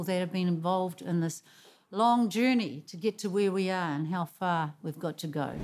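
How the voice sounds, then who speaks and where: The intonation is lively. The pace stays moderate. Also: woman. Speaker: host. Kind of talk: song introduction chat. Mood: warm, earnest. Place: studio. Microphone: studio mic.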